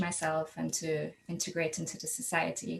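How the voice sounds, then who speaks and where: This woman's voice is somewhat breathy. She moves along at a fairly quick pace. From Trinidad and Tobago. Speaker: program manager. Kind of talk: panel discussion.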